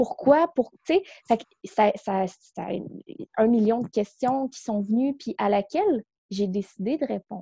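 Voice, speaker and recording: A woman's fairly high voice with a Quebec accent and a dark, mellow tone, very slow with long, frequent pauses, big swings in loudness and lively intonation. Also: dry, close sound with no echo. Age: 20s. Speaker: psychosocial worker and coach. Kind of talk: casual interview.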